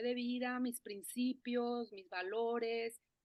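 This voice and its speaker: In a Mexican accent, a woman talks at a high pitch. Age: 50s. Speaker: forest therapy guide. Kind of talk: interview conversation. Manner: halting, many fillers and restarts.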